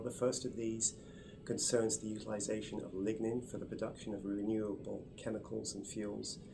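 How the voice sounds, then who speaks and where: Audible room echo and music in the background surround a man's voice. He has a medium pitch and an English accent. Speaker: research scientist. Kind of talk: interview explanation. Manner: hesitant, many fillers.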